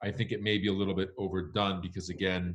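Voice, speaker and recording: This man talks at a moderate pace with a fairly low pitch. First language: Spanish. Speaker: wine critic. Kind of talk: Q&A answer.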